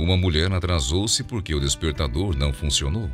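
With music in the background, a man speaks at a moderate pace in a very deep, low voice. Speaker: narrator. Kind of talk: inspirational narration.

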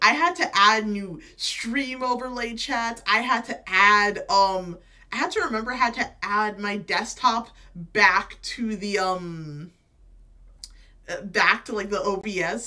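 A woman talks with ordinary pitch variation against a quiet background. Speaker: game streamer. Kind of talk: casual stream chat. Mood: excited, giggly, nervous. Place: home room.

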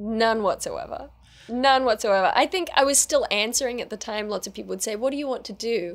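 A woman with an Australian accent talks at a fairly quick pace with lively intonation. Her loudness swings a lot. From Australia, New South Wales. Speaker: actor, writer and YouTuber; actor, YouTuber. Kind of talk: interview. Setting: studio interview set. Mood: relaxed, reflective. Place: studio. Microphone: studio mic.

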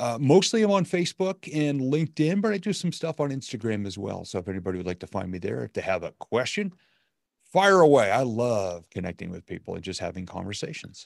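In a quiet background, a man speaks at medium pitch and a fairly quick pace. His pitch swings very widely, and the sound is dry with no echo. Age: 50s. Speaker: motivational speaker and coach; motivational speaker, coach. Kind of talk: casual interview. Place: home room.

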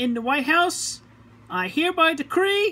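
A woman raises and projects her voice with lively intonation. She keeps a moderate pace. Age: 30s. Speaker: home video maker. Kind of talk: formal announcement to camera. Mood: indignant, proclaiming. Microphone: phone near.

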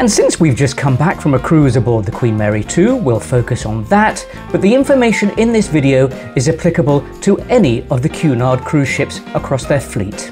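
Clear music plays in the background. A man talks over it at a fairly quick pace. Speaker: travel vlogger. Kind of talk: travel guide presentation. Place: home room. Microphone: lapel.

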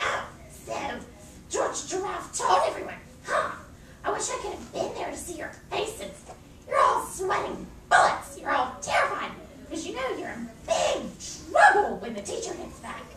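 In a cartoonish character voice, the speaker's extremely high pitch swings very widely, with slight echo and loud background noise. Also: moderate pace. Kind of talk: puppet show dialogue. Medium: puppet show. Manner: gleeful, smug, taunting.

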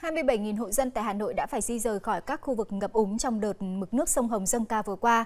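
A woman speaks very fast with hardly any pauses. Her pitch is fairly high. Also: ordinary pitch variation. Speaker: news anchor. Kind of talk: news reading. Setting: studio. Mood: calm, formal. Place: studio. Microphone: lapel.

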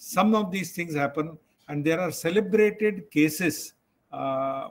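A man speaks with ordinary pitch variation. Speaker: psychiatrist lecturer. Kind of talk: lecture.

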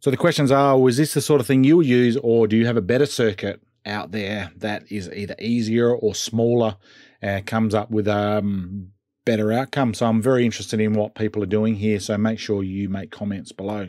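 A man speaks in a normal speaking voice, fairly low in pitch, with ordinary pitch variation and a fairly quick pace. The sound is dry with no echo, and the background is quiet. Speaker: hobby channel host. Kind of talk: tutorial. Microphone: webcam.

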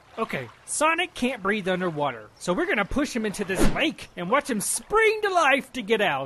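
In a cartoonish character voice, a man projects loudly at a high pitch with very wide pitch swings, moving at a moderate pace with hardly any pauses. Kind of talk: comic overacting. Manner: brash, sarcastic, blunt.

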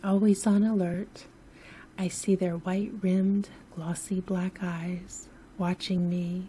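A woman whispers at a very slow pace, soft-spoken and somewhat breathy. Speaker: sleep story narrator. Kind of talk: sleep story narration. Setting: home recording, no music. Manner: soft-spoken, whispery.

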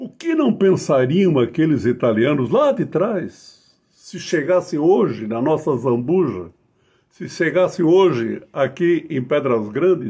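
Against a quiet background, a man with a fairly high pitch, a dark, mellow tone and lively intonation speaks at a very slow pace. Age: old. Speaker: writer and local historian. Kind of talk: formal acceptance speech. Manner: formal. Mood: warm, ceremonial, proud. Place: home room. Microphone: webcam.

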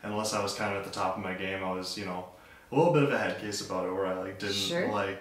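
Someone speaks at a very fast pace with audible room echo. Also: man. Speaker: guest. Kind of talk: interview answer. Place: bathroom.

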